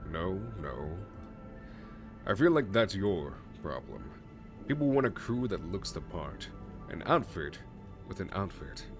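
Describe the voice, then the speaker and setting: Booming in a put-on character voice, a man speaks at a very deep, low pitch and a moderate pace with long, frequent pauses, clear music playing in the background. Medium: solo performance. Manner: confident, salesman-like.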